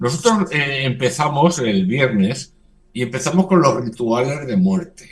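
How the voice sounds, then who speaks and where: Speaking at a fairly slow pace, a man uses a fairly high pitch and lively intonation. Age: 60s. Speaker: religious community leader. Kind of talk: radio interview. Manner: halting.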